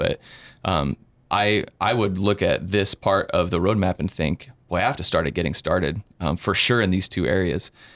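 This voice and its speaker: Recorded with a dry, close sound and no echo, the speaker uses an ordinary speaking voice at a fairly quick pace with ordinary pitch variation. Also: man, very clean recording, silent background. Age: 30s. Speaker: church worship leader. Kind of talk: casual interview.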